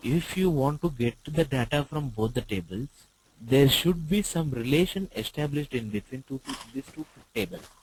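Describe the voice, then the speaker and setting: A somewhat breathy, fairly high-pitched man with an Indian accent, lively intonation and a moderate pace. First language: Telugu. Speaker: IT trainer. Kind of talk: online tutorial class. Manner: hesitant, many fillers.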